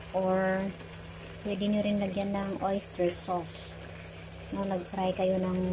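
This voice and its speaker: A soft-spoken woman at medium pitch speaks very slowly in a monotone, flat intonation with very even loudness and long, frequent pauses, amid noticeable background noise and audible room echo. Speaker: cooking vlogger. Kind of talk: cooking tutorial. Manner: casual, code-switching Tagalog and English.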